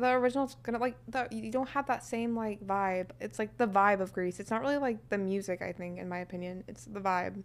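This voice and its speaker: Speaking fairly quickly with an American accent, the voice has ordinary pitch variation and hardly any pauses. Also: woman, medium pitch for a woman. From US Midwest (Kansas). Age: 20s. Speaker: film student. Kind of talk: casual chat.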